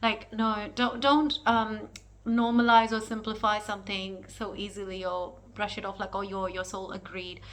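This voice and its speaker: A woman with a non-native accent, fairly high pitch, fairly even intonation, moderate pace, big swings in loudness and noticeable background noise. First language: not English. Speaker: spiritual astrologer. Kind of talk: spiritual teaching monologue. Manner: halting, searching for words.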